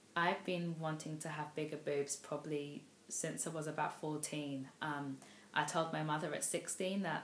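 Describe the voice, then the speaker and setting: Against audible room echo, a woman with a London accent speaks at a moderate pace in a very deep, low voice with monotone, flat intonation. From London, England. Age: 20s. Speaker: vlogger. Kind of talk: vlog monologue. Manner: hesitant, many fillers.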